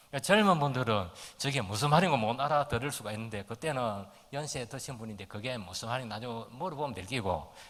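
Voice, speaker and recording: In a strong Gyeongsang accent, the speaker talks at a fairly quick pace with lively intonation and big swings in loudness, with audible room echo. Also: man, medium pitch for a man. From Gyeongsang region, South Korea. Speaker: pastor. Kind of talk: sermon.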